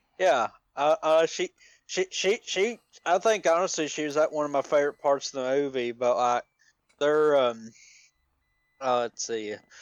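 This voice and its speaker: In an Appalachian accent, a man speaks at a moderate pace with lively intonation. He leaves long, frequent pauses. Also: fairly high pitch for a man. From Appalachia, US South. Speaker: podcast co-host. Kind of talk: casual chat. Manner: halting, many repeated words and fillers.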